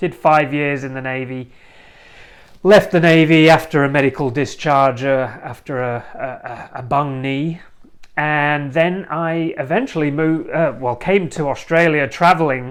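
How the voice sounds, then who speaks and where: A man with an English accent and a fairly high pitch speaks. His pace is fairly slow and his intonation fairly even. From northern England. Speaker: podcast host, relationship coach. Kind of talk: personal introduction monologue. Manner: casual, some hesitations.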